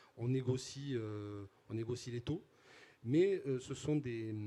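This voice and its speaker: In a southern French accent, a man speaks at a medium pitch with ordinary pitch variation and a dark, mellow, somewhat breathy tone. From southern France (Midi-Pyrénées / Languedoc-Roussillon). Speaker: company CEO. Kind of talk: interview. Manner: hesitant, many fillers and repetitions.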